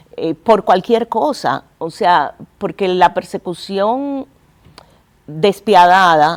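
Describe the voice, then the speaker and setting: Woman at a very slow pace, lively intonation, dry, close sound with no echo. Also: very clean recording, silent background. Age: 50s. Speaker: museum director. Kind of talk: TV interview.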